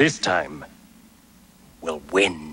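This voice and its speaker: A man is speaking. He uses a cartoonish character voice. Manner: excitable.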